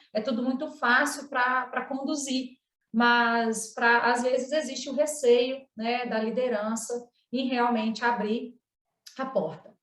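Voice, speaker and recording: A woman with a strong northeastern Minas Gerais accent speaks at a high pitch. Her pace is very slow and her intonation fairly even. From northeastern Minas Gerais, Brazil, near Bahia border. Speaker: cooperative relationship supervisor, panelist. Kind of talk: online panel talk, personal case presentation. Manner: conversational with frequent fillers.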